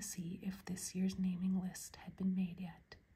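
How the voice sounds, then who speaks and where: A soft-spoken voice at a moderate pace. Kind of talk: ASMR book reading. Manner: soft-spoken, quiet.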